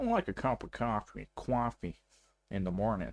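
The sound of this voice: On a very clean recording with a silent background, a man uses a put-on character voice at medium pitch and a moderate pace.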